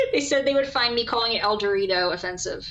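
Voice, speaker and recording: The voice has an American accent, a bright, sharp tone and lively intonation. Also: woman. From US South. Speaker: gaming streamer. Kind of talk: casual chat. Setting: live stream. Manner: gets louder over the stream.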